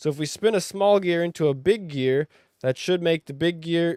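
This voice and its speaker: A man's high, animated voice with ordinary pitch variation, in a dry, close sound with no echo. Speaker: gaming youtuber. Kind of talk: gameplay commentary.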